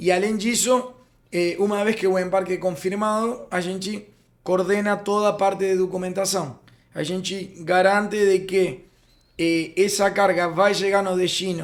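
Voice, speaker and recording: A man speaks in a high pitch with a Spanish accent. His intonation stays fairly even. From Uruguay. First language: Spanish (speaking Portuguese). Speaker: freight forwarding company founder. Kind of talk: podcast interview. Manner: halting, many fillers.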